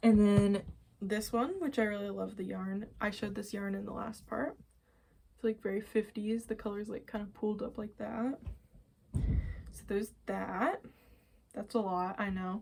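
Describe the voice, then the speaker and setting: Somewhat breathy and dark, mellow in tone, a woman speaks at a medium pitch and moderate pace with fairly even intonation, leaving long, frequent pauses. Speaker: knitting and crochet podcaster. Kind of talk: casual show-and-tell vlog.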